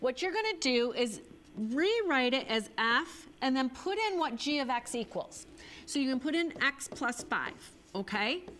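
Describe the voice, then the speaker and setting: A woman's high pitch with very wide swings at a fairly slow pace, over light background noise. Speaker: teacher hosting a homework show. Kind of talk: tutorial. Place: studio. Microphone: lapel.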